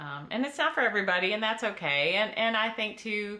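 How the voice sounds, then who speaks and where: Speaking at a moderate pace with an American accent, a woman at medium pitch swings her pitch very widely. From Michigan. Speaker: craft YouTuber. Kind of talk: casual chat while crafting. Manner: hesitant, many fillers.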